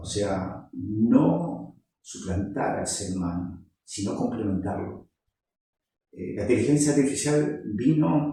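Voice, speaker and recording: Against audible room echo, a man with a fairly low, dark, mellow, somewhat breathy voice speaks at a fairly slow pace with lively intonation. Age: 60s. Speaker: tech YouTuber. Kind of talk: casual monologue. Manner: hesitant, many fillers.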